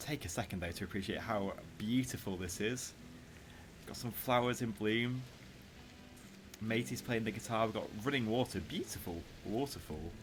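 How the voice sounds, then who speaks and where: Over music in the background, a man speaks at a moderate pace and a medium pitch, with ordinary pitch variation and long, frequent pauses. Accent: northern English. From northern England. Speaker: gaming YouTuber. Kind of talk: gameplay commentary.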